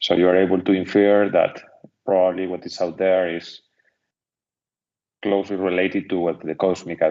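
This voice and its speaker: A man with a strong Spanish accent, very deep and low in pitch, in a monotone, flat delivery at a moderate pace with long, frequent pauses. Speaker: seminar moderator. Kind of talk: Q&A discussion.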